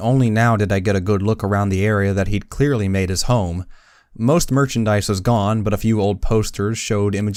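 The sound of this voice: Ordinary pitch variation runs through an unforced reading voice here.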